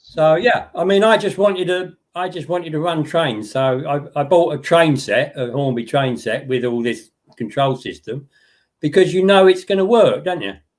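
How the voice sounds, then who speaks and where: The recording is very clean, with a silent background. A man speaks at a moderate pace in a high voice with lively intonation. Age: 70s. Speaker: model railway hobbyist. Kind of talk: casual chat.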